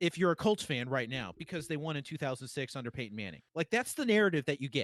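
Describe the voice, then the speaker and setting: A man with an American accent speaks loudly, with very wide pitch swings, in a dry, close sound with no echo and a quiet background. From Boston. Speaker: sports podcast host. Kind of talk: casual chat. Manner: animated.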